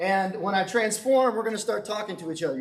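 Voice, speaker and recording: Here a man is talking. His pitch varies in an ordinary way. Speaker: teacher and guest speaker. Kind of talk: youth talk, interactive. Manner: loud; casual, hesitant fillers.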